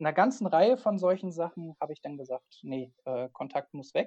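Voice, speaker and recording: A man with a dark, mellow tone and lively intonation is heard in a dry, close recording with no echo. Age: 20s. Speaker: freelance online marketer. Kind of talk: casual interview.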